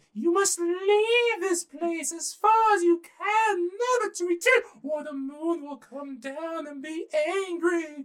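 A loud, put-on character voice at an extremely high pitch moves along at a fairly slow pace. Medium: read story. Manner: grand, proclamatory, shouting.

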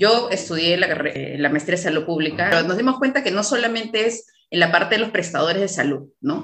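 A woman with a normal speaking voice and medium pitch talks at a fairly quick pace, with lively intonation and hardly any pauses. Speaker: podcast host, obstetrician. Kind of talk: casual interview.

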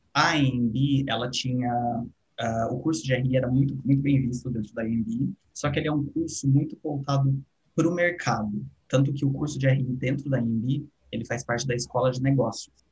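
Over background music, a man speaks at medium pitch and a moderate pace with fairly even intonation. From Brazil, São Paulo state interior. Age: 20s. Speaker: international relations graduate and art educator. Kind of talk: casual interview chat.

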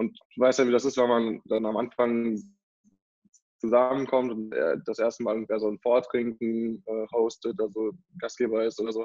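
Delivered at a moderate pace, the speech holds a monotone, flat intonation. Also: man. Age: 20s. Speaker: student entrepreneur, board game founder. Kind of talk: interview. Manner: hesitant, many filler sounds.

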